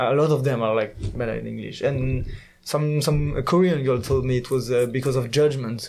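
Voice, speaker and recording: Speaking at a moderate pace with a French accent, a man keeps a medium pitch and fairly even intonation amid audible room echo. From France. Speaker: exchange student. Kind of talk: casual chat. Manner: hesitant, many fillers.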